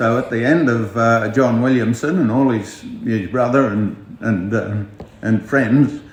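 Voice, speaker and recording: A man with a rural Australian accent speaks at a fairly slow pace and medium pitch. His pitch variation is ordinary, with noticeable background noise. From Outback Queensland, Australia. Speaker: outback pub owner. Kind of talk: interview answer. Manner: hesitant, casual.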